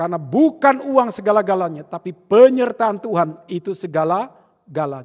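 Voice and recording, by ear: Lively intonation in a high-pitched male voice. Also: moderate pace.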